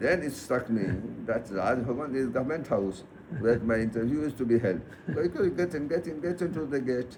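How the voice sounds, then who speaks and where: Over noticeable background noise, a man with a medium pitch speaks with lively intonation. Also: moderate pace. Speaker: retired police officer. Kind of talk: personal storytelling.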